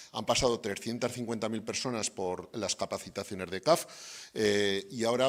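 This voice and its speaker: Over a very clean recording with a silent background, a man speaks at a fairly low pitch with ordinary pitch variation. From Spain. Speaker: development bank representative. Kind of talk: closing remarks at event. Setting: university event with audience. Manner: hesitant, many fillers.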